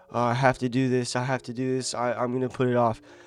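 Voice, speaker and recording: Over background music, a man talks at a moderate pace. His pitch sits at a medium level. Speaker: self-improvement vlogger. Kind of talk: casual motivational talk to camera. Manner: casual, conversational.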